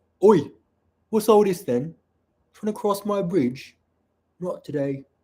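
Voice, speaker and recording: In a put-on, gruff character voice with a Cockney accent as part of the act, a man speaks fairly slowly at a high pitch. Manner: gruff, bad-accent demo.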